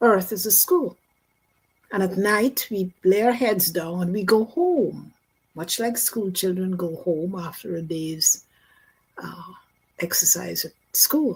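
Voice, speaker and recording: Speaking with a Guyanese accent, a woman at medium pitch sounds somewhat breathy, going at a very slow pace with long, frequent pauses and ordinary pitch variation. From Guyana. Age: 80s+. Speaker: near-death experiencer. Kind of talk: testimony.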